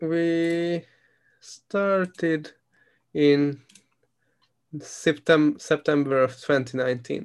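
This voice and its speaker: A man with a Hungarian accent, a fairly high pitch and a relaxed tone, very slow pace with long, frequent pauses and fairly even intonation. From Hungary. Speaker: podcast host. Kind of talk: casual chat. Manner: relaxed, fluent, laughs often.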